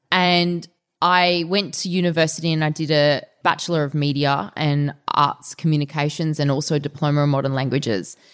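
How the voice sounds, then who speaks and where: Speaking with an Australian accent, a woman has a very deep, low pitch and a moderate pace. The recording is very clean with a silent background. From Australia, Melbourne (Essendon). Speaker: fitness trainer and martial artist. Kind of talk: interview. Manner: animated.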